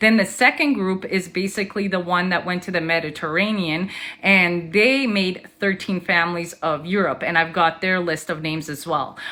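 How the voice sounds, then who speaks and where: The speaker keeps a moderate pace with hardly any pauses and ordinary pitch variation. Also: woman, fairly low pitch for a woman. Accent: non-native. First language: not English. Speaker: conspiracy theory content creator. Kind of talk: informal explainer video. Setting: recorded social media video. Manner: hesitant, many filler ums.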